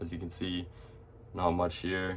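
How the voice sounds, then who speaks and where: This is a man talking. His pitch is very deep and low. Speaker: forex and indices trader. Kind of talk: screen-share trading tutorial. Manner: stutters, many fillers; casual, hesitant.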